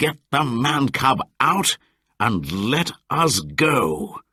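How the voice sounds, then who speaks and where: Putting on a growling character voice, a man talks at a very slow pace and a medium pitch, with very wide pitch swings. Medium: read story.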